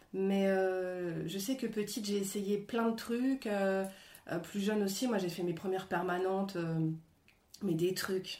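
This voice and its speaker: A woman speaks very slowly at a medium pitch in a dark, mellow tone, with long, frequent pauses. Her loudness stays very even, and the room echo is audible. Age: 40s. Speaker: actress and screenwriter. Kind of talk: interview. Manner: animated; halting.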